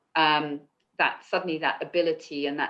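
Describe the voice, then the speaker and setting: In a British accent, a woman speaks with a very deep, low pitch. Her delivery is fairly quick and her intonation monotone and flat. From UK. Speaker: law firm knowledge executive. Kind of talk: panel discussion. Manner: halting, many repetitions and fillers.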